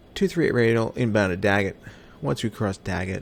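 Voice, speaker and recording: Pitch variation is ordinary in this voice, which carries an American accent. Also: man. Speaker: flight simulator streamer. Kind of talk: live gameplay commentary.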